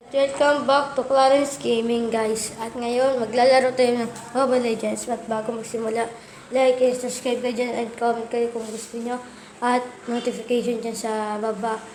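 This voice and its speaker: A soft-spoken woman with a fairly high pitch talks at a moderate pace in a flat monotone. Noticeable background noise and audible room echo fill the recording. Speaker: gaming youtuber. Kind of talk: gameplay commentary. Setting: playing on tablet.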